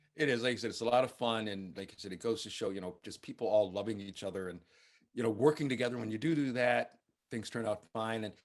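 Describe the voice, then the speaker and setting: An American accent marks this man's very fast speech, pitched in the medium range with ordinary pitch variation. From United States. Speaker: film critic. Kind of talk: interview.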